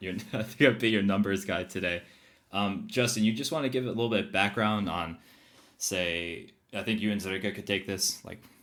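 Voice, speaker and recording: A man with an American accent talks at a fairly quick pace. He has an unremarkable speaking voice, fairly low in pitch. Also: fairly even intonation. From United States. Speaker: podcast co-host, algae researcher. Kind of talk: casual podcast chat.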